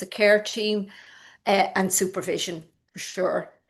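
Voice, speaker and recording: Against a quiet background, a woman with an Irish accent speaks at a very slow pace. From rural Ireland. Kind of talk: online lecture.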